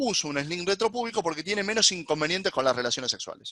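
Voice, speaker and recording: A man's raised, projected voice, bright and sharp in tone, with very wide pitch swings and a dry, close sound with no echo. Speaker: gynecologist. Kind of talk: lecture. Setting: webinar. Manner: fast.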